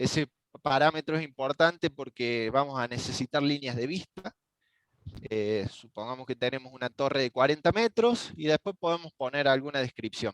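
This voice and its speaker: A man speaks in a normal speaking voice at medium pitch, with ordinary pitch variation and a moderate pace. The sound is dry with no echo, and the background is quiet. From Argentina. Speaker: network engineer; instructor presenting software. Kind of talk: technical tutorial. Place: home room. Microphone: headset.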